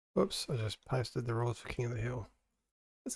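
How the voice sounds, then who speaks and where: A man's quiet, somewhat breathy voice at medium pitch, with a fairly quick pace. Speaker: gaming stream co-host. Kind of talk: casual chat. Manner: quiet, low volume.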